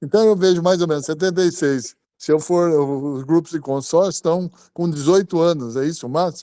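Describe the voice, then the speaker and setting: A man's voice sits high in pitch with a dark, mellow tone. Its pitch variation is ordinary. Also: moderate pace. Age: 70s. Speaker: retiree. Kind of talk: live Q&A.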